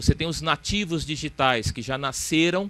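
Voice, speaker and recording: A man in a Ceará accent speaks at a moderate pace. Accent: Ceará accent, kept. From Ceará, northeastern Brazil. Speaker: panel speaker on financial regulation. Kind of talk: conference talk. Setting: academic event with audience. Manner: hesitant, repeats words.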